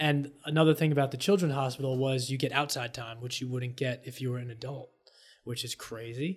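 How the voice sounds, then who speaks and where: A somewhat breathy man at medium pitch and a fairly quick pace, fairly even in intonation, with big swings in loudness. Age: 30s. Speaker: podcast co-host. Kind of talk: casual chat.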